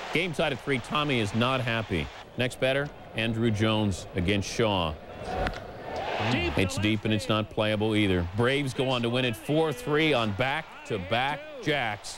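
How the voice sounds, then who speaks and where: A man talks with a medium pitch and lively intonation. Music plays in the background. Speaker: sports highlights anchor. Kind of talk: rapid-fire baseball highlights commentary. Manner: brisk, excitable calls with comic asides.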